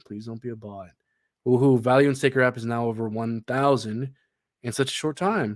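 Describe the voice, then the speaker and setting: At a moderate pace and with ordinary pitch variation, a man talks in a very clean recording with a silent background. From Canada. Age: 20s. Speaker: crypto livestreamer. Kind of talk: livestream chat reading. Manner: animated; halting with many fillers.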